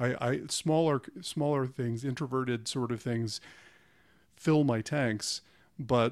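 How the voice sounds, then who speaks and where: At a moderate pace, a man uses a plain, everyday voice with fairly even intonation. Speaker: podcast host and professor. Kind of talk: casual interview conversation.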